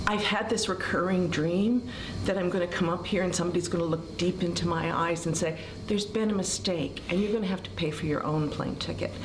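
A woman speaks at a fairly quick pace with a fairly low pitch. Her intonation stays fairly even over noticeable background noise. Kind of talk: interview answer. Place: hall. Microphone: camera far.

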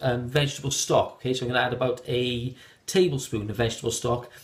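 A man speaks at a very fast pace. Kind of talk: tutorial. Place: kitchen. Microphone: phone near.

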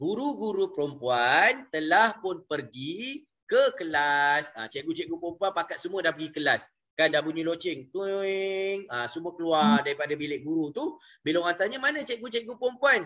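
A man speaks with a Malaysian accent at a high pitch. His voice moves in very wide pitch swings. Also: moderate pace. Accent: Malaysian Malay. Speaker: Arabic language teacher. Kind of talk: online lecture. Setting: video call. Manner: halting, frequent fillers.

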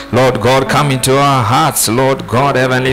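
A man's medium-pitched voice over clear music in the background. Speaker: preacher; academic. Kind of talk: prayer. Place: church. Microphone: handheld.

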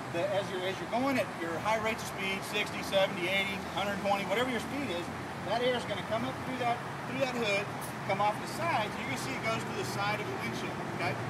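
Loud background noise sits behind a man talking at a fairly quick pace with ordinary pitch variation. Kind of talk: product demonstration talk. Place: street. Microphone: phone near.

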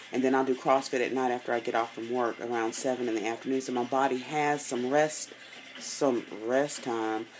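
With music in the background, a woman speaks in a very deep, low pitch with fairly even intonation. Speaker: fitness vlogger. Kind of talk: casual vlog chat. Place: home room. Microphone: phone near.

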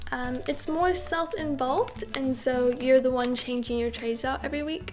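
Clear music behind a woman speaking at a moderate pace. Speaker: vlogger. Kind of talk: casual vlog chat. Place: home room.

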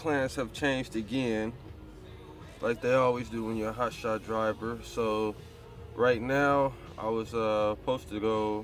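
A man talks at a fairly slow pace in a monotone, flat intonation. The sound is dry with no echo, and faint music plays in the background. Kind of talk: casual vlog chat. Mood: resigned, low-key. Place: car. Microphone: phone near.

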